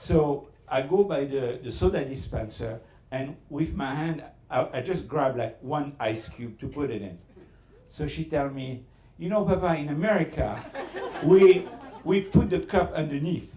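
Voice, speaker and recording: A man's fairly high voice with a French accent, lively intonation, big swings in loudness and a fairly slow pace, over noticeable background noise. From Southern France. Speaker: restaurateur. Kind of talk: after-dinner speech with storytelling. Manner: halting.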